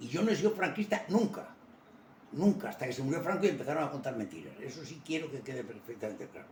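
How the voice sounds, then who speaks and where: A man's fairly high voice at a very fast pace, with very wide pitch swings and big swings in loudness, against noticeable background noise. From Spain. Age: 80s+. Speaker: retired army officer. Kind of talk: interview. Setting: at home.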